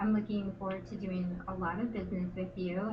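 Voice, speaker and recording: A fairly quick, monotone delivery with flat intonation in an American accent, plus audible room echo and noticeable background noise. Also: woman. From US Midwest. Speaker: real estate show host. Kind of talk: interview.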